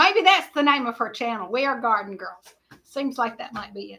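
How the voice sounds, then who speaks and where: Raised and projected, a woman's voice rings out with a bright, sharp tone. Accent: Southern US. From Georgia, US South. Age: 60s. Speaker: livestream host. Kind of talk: casual chat. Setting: livestream.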